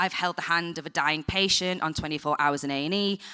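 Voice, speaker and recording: With a strong northern English accent, a woman speaks in a bright, sharp tone with ordinary pitch variation. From northern England, Blackburn. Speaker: TV production professional. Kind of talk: panel discussion. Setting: stage with audience. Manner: casual, animated.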